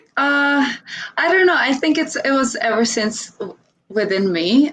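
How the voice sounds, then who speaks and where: With a Croatian accent, a woman speaks at a moderate pace using lively intonation. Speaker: dancer and content creator. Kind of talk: interview chat. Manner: halting with many fillers.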